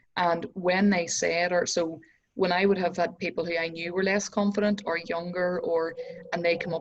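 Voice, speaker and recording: Speaking at a fairly quick pace, a woman keeps a fairly low pitch and fairly even intonation. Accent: Northern Irish. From Northern Ireland. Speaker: entrepreneur and success coach. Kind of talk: casual interview chat.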